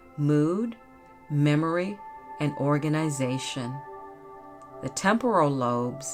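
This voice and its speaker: Over music in the background, a woman speaks at a fairly slow pace in a calm tone, her very deep, low pitch showing ordinary variation. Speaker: podcast host. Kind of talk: educational podcast narration. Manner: soft-spoken, calm.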